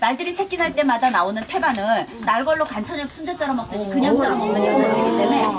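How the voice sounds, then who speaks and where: Someone with a Jeju accent speaks at a fairly quick pace over noticeable background noise. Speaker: folk village guide. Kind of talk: folk village tour guide talk to visitors. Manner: lively, humorous storytelling.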